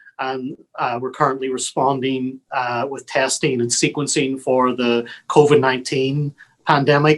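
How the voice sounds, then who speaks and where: In a Northern Irish accent, a man speaks at a fairly slow pace with a medium pitch and a monotone, flat intonation. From Northern Ireland, Belfast. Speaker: public health lab director. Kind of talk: interview. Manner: hesitant, many fillers.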